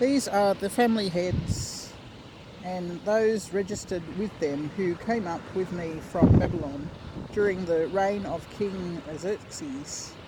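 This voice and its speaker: Over noticeable background noise, a woman with an Australian accent speaks at a very slow pace. Her pitch is medium, with ordinary variation. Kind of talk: scripture reading. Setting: outdoors.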